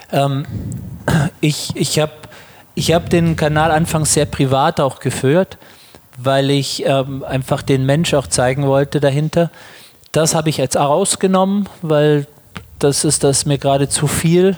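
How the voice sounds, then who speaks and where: With noticeable background noise, a man speaks at a fairly high pitch and fairly slow pace. His loudness is very even, his intonation fairly even, with long, frequent pauses. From Germany. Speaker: yoga teacher and psychologist. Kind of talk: interview. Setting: on location at a conference.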